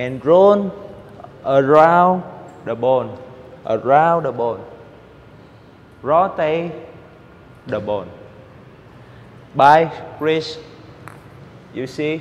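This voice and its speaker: At a very slow pace, a man talks with lively intonation and long, frequent pauses. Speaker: table tennis coach. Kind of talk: tutorial. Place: hall. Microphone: lapel.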